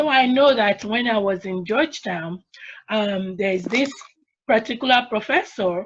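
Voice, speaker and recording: A woman speaks with an African accent at a medium pitch and ordinary pitch variation. Her voice is somewhat breathy, and her pace is moderate. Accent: African accent, retained. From Nigeria. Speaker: attorney, panelist. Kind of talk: panel discussion.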